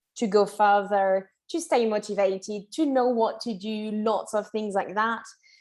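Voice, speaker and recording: At a fairly slow pace, a woman with a French accent speaks at a fairly high pitch. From France. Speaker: English teacher. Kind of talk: online masterclass lecture. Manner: casual, chatty.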